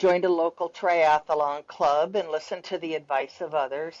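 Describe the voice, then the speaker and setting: A woman with a plain, everyday voice, fairly low pitch, fairly even intonation, and a fairly slow pace. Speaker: amateur triathlete and trail runner. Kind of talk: interview. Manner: casual.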